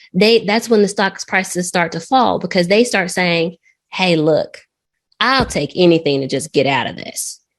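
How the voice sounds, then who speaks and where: A woman uses a normal speaking voice at medium pitch. She keeps a moderate pace with lively intonation. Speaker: trading educator. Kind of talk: lecture.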